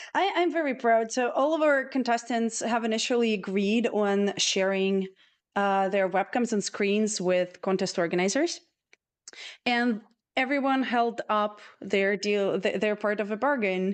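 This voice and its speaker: A woman speaks at a fairly slow pace with a non-native accent. The background is quiet. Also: fairly high pitch for a woman, ordinary pitch variation, very even loudness. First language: not English. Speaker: contest organizer and stream host. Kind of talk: livestream chat with contestants.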